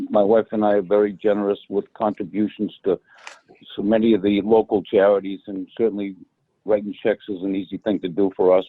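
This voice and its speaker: Here a man speaks at a fairly low pitch. His pace is fairly quick. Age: 60s. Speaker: retired electrical contractor, committee applicant. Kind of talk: public meeting remarks. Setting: phone call into online meeting. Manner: halting, repeats words.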